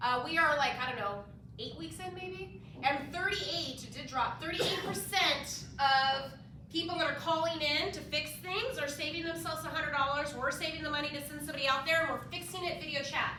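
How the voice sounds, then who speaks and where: Over noticeable background noise and audible room echo, a woman talks in a raised, projected, high-pitched voice with an animated tone at a fairly quick pace. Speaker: home warranty representative. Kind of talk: sales presentation at office meeting. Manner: fast.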